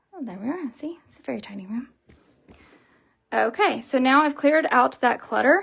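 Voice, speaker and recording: The woman's pitch is high. She talks at a moderate pace. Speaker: home organizing vlogger. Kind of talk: tutorial. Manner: casual with many fillers.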